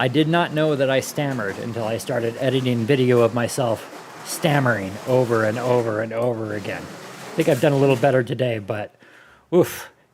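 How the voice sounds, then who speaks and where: Talking fairly quickly at a medium pitch, a man varies his tone in an ordinary way despite noticeable background noise. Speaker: event host, slot car racer. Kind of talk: casual chat. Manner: halting.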